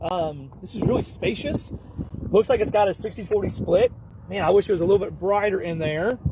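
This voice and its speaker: The man's voice sits at a high pitch. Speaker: talk show co-host. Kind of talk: casual vehicle walkaround. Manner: mumbling.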